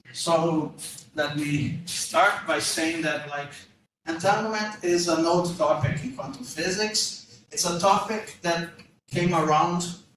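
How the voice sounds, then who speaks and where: A man with a Portuguese accent talks at a very slow pace, his pitch high with ordinary variation. There is audible echo in the room. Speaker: physics professor. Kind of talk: lecture. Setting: lecture room with audience. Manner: hesitant, many fillers.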